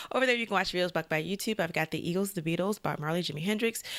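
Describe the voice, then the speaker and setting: A woman talks very fast in a fairly low voice. The recording is very clean, with a silent background. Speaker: music reaction video host. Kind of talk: casual reaction commentary. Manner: stammers when flustered or excited; casual, hesitant with fillers.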